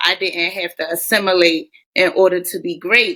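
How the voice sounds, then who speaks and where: A woman speaks with a Baltimore accent at medium pitch. Her tone is animated. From Baltimore, US. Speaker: teacher. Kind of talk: podcast interview. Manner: casual, animated.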